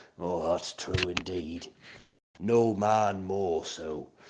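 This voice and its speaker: Putting on a character voice, a man speaks with a very deep, low pitch. His pace is very slow and his intonation fairly even. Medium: stage play.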